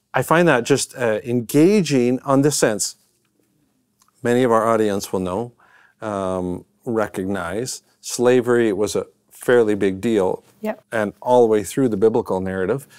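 A man with a Canadian accent speaks at a fairly slow pace, his pitch medium and its variation ordinary. The sound is dry with no echo, over a quiet background. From Canadian prairies. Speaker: professor and minister; professor, minister. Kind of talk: conversational lecture. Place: studio.

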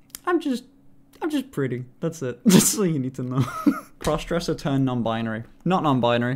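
With a British accent, a man speaks at a very fast pace. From United Kingdom. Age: 20s. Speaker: streamer. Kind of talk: casual live-stream talk to chat. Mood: playful, candid. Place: home room. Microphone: studio mic.

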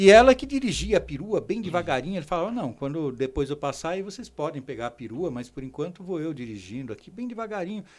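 A man with a fairly high voice talks at a very fast clip, his pitch swinging very widely and almost never pausing. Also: big swings in loudness. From Brazil. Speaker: podiatry teacher. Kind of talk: interview. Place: studio. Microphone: studio mic.

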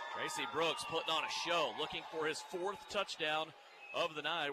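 Over noticeable background noise, a man speaks in an excited tone at a high pitch. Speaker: play-by-play announcer. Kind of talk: live sports commentary. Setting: arena broadcast. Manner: fast, excited play-by-play call, rising urgency on big plays.

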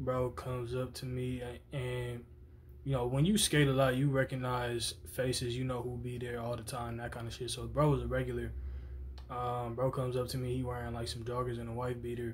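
This man talks at a fairly quick pace in a monotone, flat intonation over light background noise. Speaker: vlogger. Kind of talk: casual vlog chat, storytelling. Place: home room. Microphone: phone near.

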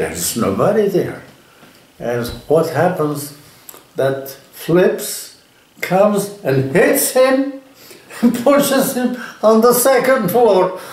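A man speaks at a very slow pace with long, frequent pauses. Audible room echo surrounds his voice. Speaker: storyteller, interviewee. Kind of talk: interview answer, anecdote telling. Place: home room.

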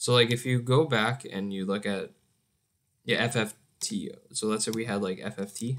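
At a fairly slow pace, a man speaks at a medium pitch with fairly even intonation. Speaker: programming youtuber. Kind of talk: coding tutorial. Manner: rambling, hesitant with many fillers.

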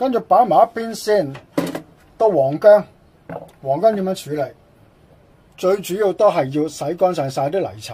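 With noticeable background noise, an animated tone moves at a moderate pace broken by long, frequent pauses. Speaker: cooking YouTuber. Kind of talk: cooking tutorial.

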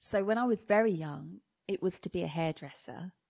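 Against a quiet background, a woman in a southern English accent speaks at a moderate pace with ordinary pitch variation. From southern England, Watford, Hertfordshire; southern England. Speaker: anti-racism educator and speaker; anti-racism educator, speaker. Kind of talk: interview conversation; interview answer. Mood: reflective, warm. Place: home room. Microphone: studio mic.

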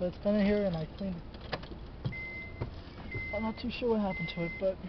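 Against noticeable background noise, a man speaks at a moderate pace. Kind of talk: casual vlog chat. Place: garage. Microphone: phone near.

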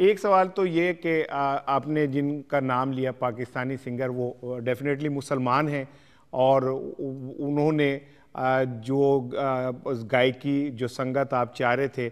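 A man speaks very slowly at a fairly high pitch. His intonation is fairly even, and the background is quiet. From Pakistan. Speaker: TV host. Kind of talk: interview. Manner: formal. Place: studio. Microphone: lapel.

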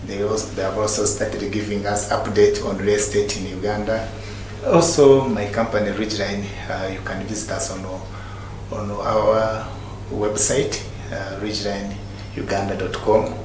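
A man speaks at a fairly low pitch. Audible room echo and light background noise surround him. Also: moderate pace. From Uganda. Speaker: real estate consultant. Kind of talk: interview. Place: studio.

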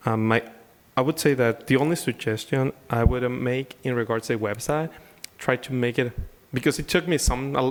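This man speaks with a Spanish accent at a moderate pace. His pitch is medium and his intonation fairly even. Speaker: city council member. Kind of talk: council meeting questions. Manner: halting.

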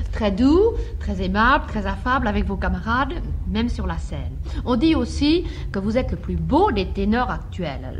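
Noticeable noise sits in the background. A woman's speech moves at a fairly slow pace. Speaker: radio host. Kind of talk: radio interview questions. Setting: radio studio.

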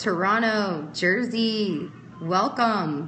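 Light background noise runs through the clip. The speaker is a woman. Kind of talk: casual live stream chat. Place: home room. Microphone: phone near.

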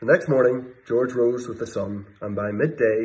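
Natural-voiced reading aloud

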